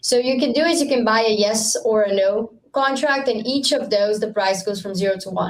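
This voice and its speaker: A woman's fairly high voice with a Brazilian accent, fairly quick with hardly any pauses and ordinary pitch variation. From Brazil (Rio de Janeiro). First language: Portuguese. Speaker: startup founder. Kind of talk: podcast interview. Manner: halting with many fillers and repetitions.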